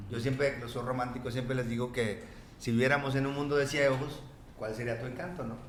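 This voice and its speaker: A man with a medium pitch talks at a fairly quick pace in a monotone, flat intonation. Noticeable background noise and audible room echo surround him. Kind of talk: casual interview chat. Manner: fast; halting, many repetitions.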